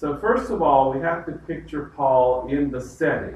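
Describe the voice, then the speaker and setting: With a Southern US accent, a man talks at a fairly slow pace and fairly high pitch with ordinary pitch variation, over noticeable background noise. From US South. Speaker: pastor leading Bible study. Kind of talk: Bible study lecture. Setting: church group with live audience.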